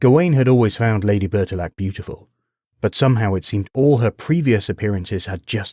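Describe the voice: Over a quiet background comes plain reading aloud.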